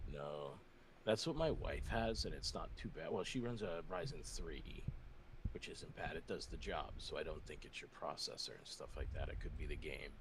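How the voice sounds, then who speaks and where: A quiet man at a moderate pace, with audible room echo. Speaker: caller. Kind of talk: casual chat. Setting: voice call. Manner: quiet, kept down.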